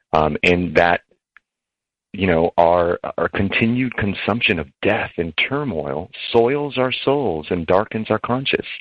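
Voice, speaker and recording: The speech comes at a fairly slow pace with lively intonation. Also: man, fairly low pitch for a man. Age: 40s. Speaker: presidential candidate. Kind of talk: interview. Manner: halting.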